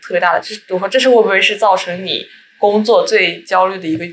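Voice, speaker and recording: In a normal speaking voice, a woman talks at a fairly quick pace with a medium pitch and ordinary pitch variation. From Jiangsu, China (Kunshan). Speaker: podcast host. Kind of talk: casual interview chat.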